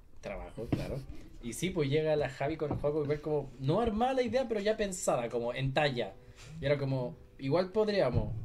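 With a Chilean accent, a man speaks at a fairly quick pace in a fairly high, somewhat breathy voice. His pitch swings very widely, and room echo is audible. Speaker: podcast panelist. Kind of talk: live podcast panel chat. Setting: radio studio. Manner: animated.

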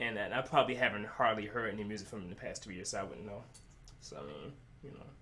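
A man talks very fast at a fairly low pitch, his tone bright and sharp, with ordinary pitch variation. His loudness swings widely, and the room echo is audible. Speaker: music reviewer. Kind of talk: casual chat.

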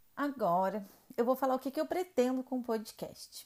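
Speaking at a fairly slow pace, a woman lets her intonation rise and fall in a lively way. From Rio Grande do Sul, southern Brazil. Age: 30s. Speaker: podcast host, makeup artist. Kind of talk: personal storytelling monologue.

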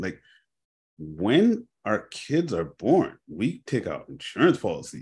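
With a Toronto accent, a man speaks very slowly in a dark, mellow tone with vocal fry over a quiet background. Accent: Canadian (Toronto area). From Canada, Brampton, Ontario. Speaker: insurance and wealth advisor. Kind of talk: interview.

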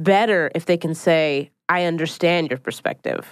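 A woman's fairly low voice with an American accent, a normal speaking voice with ordinary pitch variation, over a quiet background. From Philadelphia, US. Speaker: stand-up comedian and writer. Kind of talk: casual chat.

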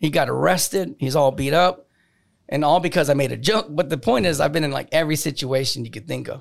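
Vocal fry marks this man's fairly high-pitched voice, which shows ordinary pitch variation. He talks at a very fast pace in a very clean recording with a silent background. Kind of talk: casual chat, DJ/emcee-style banter. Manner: animated, playful emcee patter, crowd-hyping and cracking jokes; brash, cocky, loud, swears freely.

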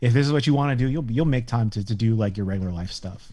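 A man with a Californian accent speaks very fast at a medium pitch, his tone dark and mellow and his intonation lively. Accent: Californian American English. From Northern California. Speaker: entrepreneur. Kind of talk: casual chat.

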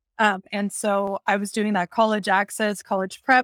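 A woman's ordinary speaking voice, fairly high in pitch, with an American accent, at a moderate pace, in a dry, close sound with no echo. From Texas. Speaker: educational technology coordinator. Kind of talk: interview conversation. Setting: video call.

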